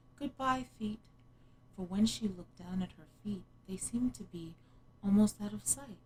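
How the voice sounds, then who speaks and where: Somewhat breathy, a woman speaks at a moderate pace with a medium pitch and ordinary pitch variation. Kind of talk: ASMR bedtime story reading. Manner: whispered, soft-spoken.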